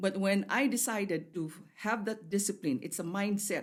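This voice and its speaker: This woman has a plain, everyday voice at a medium pitch. She talks at a moderate pace with ordinary pitch variation. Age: 60s. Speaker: health talk show co-host. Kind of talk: casual chat.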